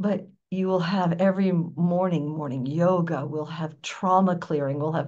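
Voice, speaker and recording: An American accent marks a woman's somewhat breathy voice, fairly low in pitch, with fairly even intonation at a fairly slow pace and audible room echo. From US, New York. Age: 70s. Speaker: spiritual teacher. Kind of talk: interview.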